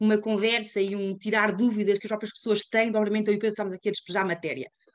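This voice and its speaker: A woman in a European Portuguese accent, fairly high-pitched and very fast. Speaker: climate activist. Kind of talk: webinar presentation.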